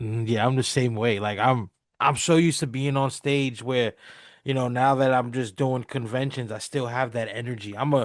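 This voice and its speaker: A normal speaking voice from a man, medium in pitch, at a moderate pace with fairly even intonation against a quiet background. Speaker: podcast host and comic creator. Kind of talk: casual interview chat.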